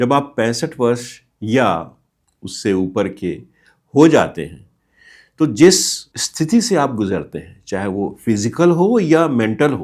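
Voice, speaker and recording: A man's medium-pitched voice with very wide pitch swings and big swings in loudness, on a very clean recording with a silent background. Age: 60s. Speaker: retiree giving life advice. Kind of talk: motivational talk. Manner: explanatory.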